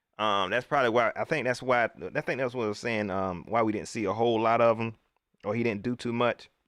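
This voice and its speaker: In a Carolinas accent, a man speaks at a fairly quick pace and medium pitch with a bright, sharp, animated tone, on a very clean recording with a silent background. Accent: US Southern, Carolinas. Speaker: sports livestream host. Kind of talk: casual live stream commentary reading chat. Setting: live stream. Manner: animated, repetitive.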